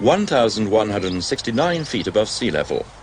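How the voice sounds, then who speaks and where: A man's voice at a moderate pace with very wide pitch swings, over noticeable background noise. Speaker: documentary narrator. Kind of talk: documentary narration.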